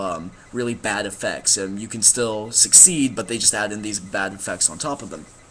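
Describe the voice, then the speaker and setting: A man talks at a fairly low pitch. Noticeable background noise runs under his voice. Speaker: gaming vlogger. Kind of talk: casual explanation monologue. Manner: fast; halting, many fillers.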